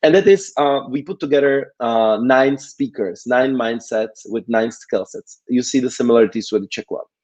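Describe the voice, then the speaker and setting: A man with a non-native accent speaks at a medium pitch and moderate pace with hardly any pauses and ordinary pitch variation, in a dry, close sound with no echo. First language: not English. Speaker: conference organizer and speaker. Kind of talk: conference talk. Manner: halting, many fillers.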